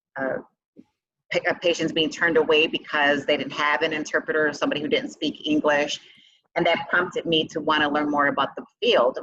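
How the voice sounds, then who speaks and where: Speaking at a fairly quick pace, a woman talks with a Chicago accent. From Chicago, south side. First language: Spanish. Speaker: business owner and CEO. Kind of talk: interview.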